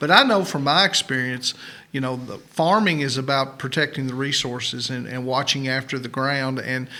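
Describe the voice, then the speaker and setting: A man speaks in a plain, everyday voice, pitched fairly high and delivered at a moderate pace. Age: 60s. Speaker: farmer and podcast co-host. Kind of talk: podcast interview.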